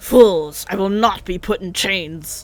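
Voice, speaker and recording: A put-on character voice at a middle pitch moves at a fairly slow pace, with faint music in the background. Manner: defiant, scornful.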